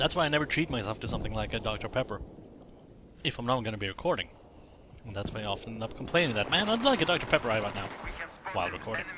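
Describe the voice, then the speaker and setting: Over noticeable background noise, a man at medium pitch talks very fast with lively intonation, broken by long, frequent pauses. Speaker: gaming video creator. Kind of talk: let's play commentary. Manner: halting, self-correcting.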